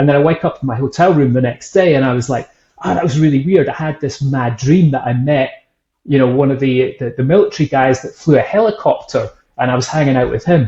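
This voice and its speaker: Speaking very fast in a Scottish accent, a man has a fairly high pitch, a dark, mellow tone, a somewhat breathy quality and ordinary pitch variation. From Scotland, Edinburgh. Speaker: whisky brand founder and author. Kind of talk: casual interview chat.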